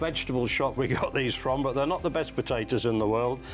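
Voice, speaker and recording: Over music in the background, a man speaks very fast with lively intonation. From Norfolk, England. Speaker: knife demonstrator. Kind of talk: TV shopping demonstration.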